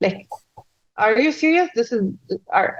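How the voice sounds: A woman speaks at a high pitch. Her intonation is lively.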